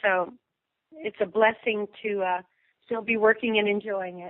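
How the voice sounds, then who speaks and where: A woman has a plain, everyday voice at a fairly high pitch. She keeps a moderate pace and fairly even intonation. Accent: American. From Indiana, lives in Texas. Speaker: country singer, recording artist. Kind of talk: interview answer. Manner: relaxed, friendly.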